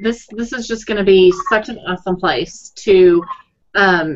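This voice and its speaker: A woman speaks at a fairly slow pace with a Texas accent against light background noise. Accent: Texas twang. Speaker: blogging coach. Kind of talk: casual chat. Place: home room. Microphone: webcam.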